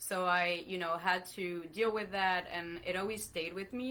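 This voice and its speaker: Her pitch fairly low and her tone bright and sharp, a woman speaks at a fairly slow pace with fairly even intonation. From France. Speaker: veterinarian and company founder. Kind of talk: live online interview.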